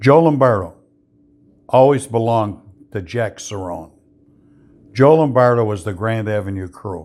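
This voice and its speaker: A man with an American accent at medium pitch, moderate pace, ordinary pitch variation, big swings in loudness, and long, frequent pauses. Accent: Chicago working-class. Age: 80s+. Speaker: former mobster telling stories. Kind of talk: casual monologue answering viewer questions.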